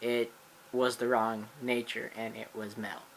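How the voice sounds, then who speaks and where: A man speaks at a medium pitch with an American accent. His intonation stays monotone and flat. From United States. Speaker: gaming YouTuber. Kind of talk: channel introduction vlog. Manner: halting, many fillers and restarts.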